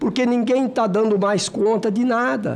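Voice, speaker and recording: Fairly slow male speech with audible room echo. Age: 60s. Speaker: senator. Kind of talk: committee speech. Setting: senate committee hearing. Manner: emphatic.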